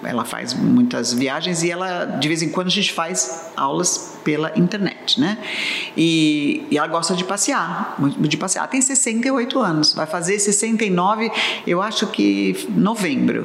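A woman with a fairly low voice talks very slowly, her pitch swinging widely. Audible room echo and noticeable background noise surround her. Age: 60s. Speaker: English teacher and cruise tour guide. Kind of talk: casual chat.

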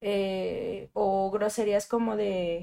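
A very clean recording of a woman, background silent. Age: 20s. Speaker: psychologist. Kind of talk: panel discussion.

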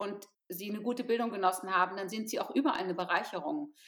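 A woman speaks at a fairly high pitch with ordinary pitch variation. Music plays in the background. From Potsdam, eastern Germany. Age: 50s. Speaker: charity founder. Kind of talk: interview.

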